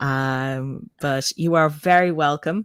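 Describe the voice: Speaking slowly in a Dublin accent, a woman uses fairly even intonation and a clear, smooth tone. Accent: Irish, Dublin.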